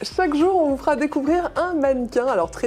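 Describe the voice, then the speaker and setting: A woman talks while noticeable background noise sits behind her. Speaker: TV presenter. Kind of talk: TV morning news presenter read.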